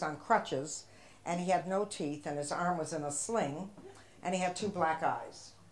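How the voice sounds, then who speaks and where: In a room with audible echo, a woman with an American accent talks at a fairly low pitch with ordinary pitch variation. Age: 70s. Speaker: comedian. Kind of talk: stand-up. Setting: stage with audience.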